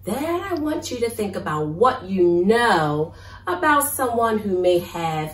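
A natural voice reading aloud

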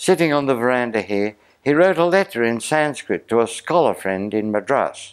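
A man speaks in an Australian accent at a moderate pace. His pitch swings very widely, and the background is quiet. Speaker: storyteller. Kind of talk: talk to an audience. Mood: lively, animated storytelling. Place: home room. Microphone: lapel.

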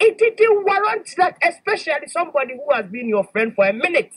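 At a moderate pace, a woman speaks in a high pitch with big pitch swings.

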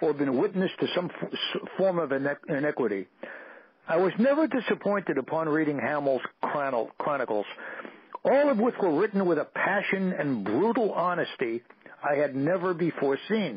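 Speaking in a New York accent, a man with a fairly high pitch moves at a moderate pace, his pitch swinging very widely while his loudness stays very even. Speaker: radio show guest. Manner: reading aloud from his own written piece.

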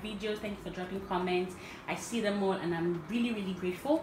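A woman talks fairly quickly with ordinary pitch variation while noticeable background noise carries on. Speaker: home cook vlogger. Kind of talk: cooking tutorial. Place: kitchen. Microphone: phone near.

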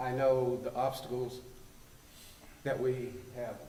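Noticeable background noise and audible room echo surround the recording. A man talks at a medium pitch with a western North Carolina accent. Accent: Southern US (western North Carolina). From US South. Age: 70s. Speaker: community elder. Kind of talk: public comment at council meeting. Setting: town council meeting room.

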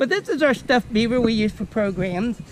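Over light background noise, a man talks at a fairly quick pace with ordinary pitch variation. The sound is dry, with no echo. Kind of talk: educational nature talk. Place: forest.

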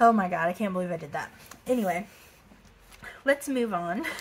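Upbeat and somewhat breathy, a woman speaks with an American accent. Her pitch varies an ordinary amount over light background noise. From Texas. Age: 20s. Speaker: budgeting vlogger. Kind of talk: casual talk to camera. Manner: chatty, upbeat. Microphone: phone near.

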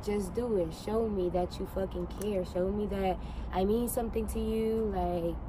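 A woman at a fairly slow pace, the sound dry with no echo, over noticeable background noise. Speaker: vlogger. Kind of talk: casual vlog chat. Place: street. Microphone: phone near.

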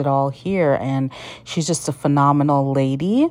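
Here a woman talks at a fairly slow pace. Her pitch varies in an ordinary way. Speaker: food vlogger. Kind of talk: casual vlog commentary. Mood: quiet, admiring. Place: street. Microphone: phone near.

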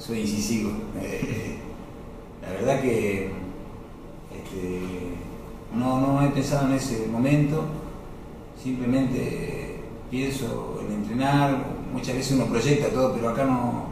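Against noticeable background noise and strong room echo, a man talks at a very slow pace with ordinary pitch variation and long, frequent pauses. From Salta, northwestern Argentina. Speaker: footballer. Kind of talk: interview. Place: office.

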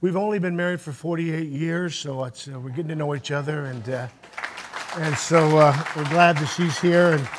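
With crowd noise in the background, a man talks at a moderate pace in fairly even intonation. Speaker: guest preacher. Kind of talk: sermon. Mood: warm, humorous. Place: church.

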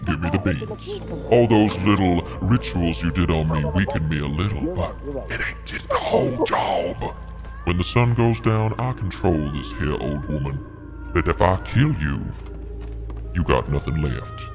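A woman's put-on character voice at a moderate pace, over loud music in the background. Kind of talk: villain role-play. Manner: menacing, slow, drawling threats.

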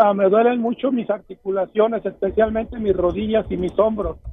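Over noticeable background noise, a man speaks at a moderate pace in a high, monotone voice with flat intonation. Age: 60s. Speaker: caller. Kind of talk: phone call-in. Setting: phone call while driving. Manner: halting. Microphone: too quiet.

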